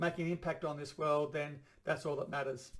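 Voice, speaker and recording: Very fast and flat, a fairly high-pitched man speaks with an Australian accent. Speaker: chiropractor and vlogger. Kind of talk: personal video blog monologue. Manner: halting, stumbles over words.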